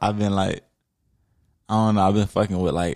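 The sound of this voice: A man drawls at a moderate pace with a low pitch and fairly even intonation. His voice is raspy with vocal fry and a slightly mellow tone.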